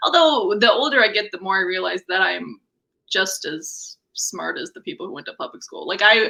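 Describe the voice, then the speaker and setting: A woman with a Wisconsin accent talks at a fairly quick pace. Her fairly high pitch swings very widely. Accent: folksy Midwestern accent, sounds Wisconsin. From Missouri. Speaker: stand-up comedian. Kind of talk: casual chat.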